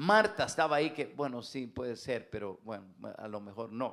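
A man speaks loudly and at a fairly slow pace, with a medium pitch. His tone is animated, and his pitch swings very widely. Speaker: pastor. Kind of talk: sermon. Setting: church.

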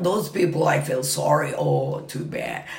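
Against noticeable background noise, a woman with a Japanese accent speaks at a fairly slow pace. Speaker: Japanese dance instructor. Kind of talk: casual interview. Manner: halting, rambling.

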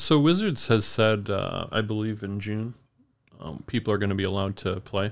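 With an American accent, a man speaks at a moderate pace and a fairly low pitch. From upstate New York. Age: 40s. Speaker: trading card shop owner. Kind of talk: casual interview chat. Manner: soft-spoken, deadpan.

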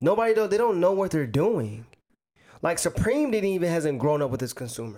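In a very clean recording with a silent background, a man speaks in an animated tone at a high pitch, his voice making very wide pitch swings. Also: fairly quick pace. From US South, Chattanooga, Tennessee. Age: 20s. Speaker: teacher and retail worker. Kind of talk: casual chat.

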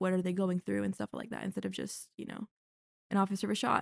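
An American accent in a very clean recording with a silent background, dry and close with no echo. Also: woman. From North Carolina. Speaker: journalism student. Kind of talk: casual interview chat.

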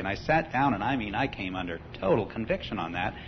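The man talks at a very fast pace while noticeable background noise runs underneath. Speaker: congregation member giving testimony. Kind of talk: testimony.

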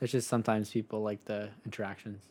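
The delivery moves at a fairly quick pace. Its intonation stays monotone and flat. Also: man. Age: 20s. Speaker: podcast co-host and construction business owner. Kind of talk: casual chat.

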